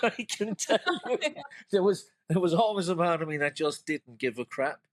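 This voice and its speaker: A man speaks at a high pitch and a moderate pace. The sound is dry and close, with no echo. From Cork, Ireland. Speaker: creative director, poet and artist. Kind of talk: podcast interview answer.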